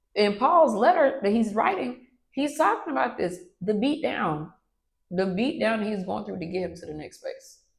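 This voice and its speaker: A woman with an American accent speaks at a moderate pace with a medium pitch, very wide pitch swings, big swings in loudness and vocal fry. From US South, Atlanta, Georgia. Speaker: entrepreneur, coffee company CEO. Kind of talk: interview, casual chat.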